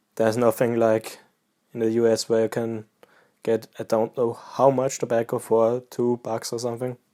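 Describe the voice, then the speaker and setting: A man speaks with a relaxed, dark, mellow tone. The recording is very clean with a silent background and a dry, close sound with no echo. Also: medium pitch for a man, moderate pace. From Austria. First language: German (Austrian dialect). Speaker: pipe-smoking YouTuber. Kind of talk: casual vlog chat. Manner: relaxed, occasional hesitations.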